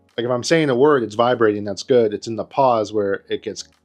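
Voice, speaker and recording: A man keeps up a fairly quick pace while music plays in the background. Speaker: motovlogger. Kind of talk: casual vlog monologue. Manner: rambling, self-interrupting.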